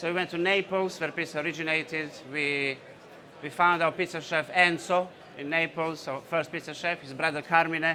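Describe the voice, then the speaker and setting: A man's voice, high in pitch with a bright, sharp tone, keeps a fairly even intonation. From Bosnia. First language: Bosnian. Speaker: entrepreneur. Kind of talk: conference talk. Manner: hesitant, many fillers.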